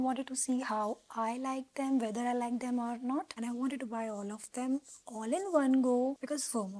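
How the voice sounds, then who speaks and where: Speaking at a fairly quick pace with a non-native accent, a woman uses a high pitch, ordinary pitch variation, and a dark, mellow tone. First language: not English. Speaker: booktuber. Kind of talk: casual vlog talk. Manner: animated.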